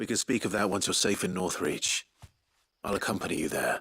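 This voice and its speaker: A man speaks in a put-on character voice. His pitch is fairly low and his pace fairly quick. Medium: video game. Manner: calm, dry.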